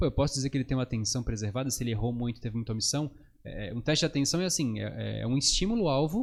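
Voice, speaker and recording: A very fast pace with ordinary pitch variation, in a very clean recording with a silent background. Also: man. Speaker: psychologist. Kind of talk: podcast interview.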